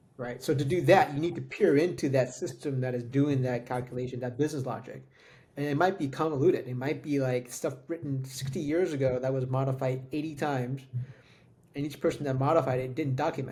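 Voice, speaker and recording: With a dark, mellow, somewhat breathy tone, a man speaks at a fairly quick pace and fairly even intonation. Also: medium pitch for a man. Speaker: tech podcast co-host. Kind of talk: casual chat.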